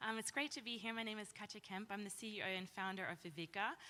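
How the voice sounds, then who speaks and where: Speaking with an Australian accent, a woman uses a bright, sharp tone at medium pitch, a fairly quick pace, and ordinary pitch variation. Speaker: company founder. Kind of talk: panel discussion.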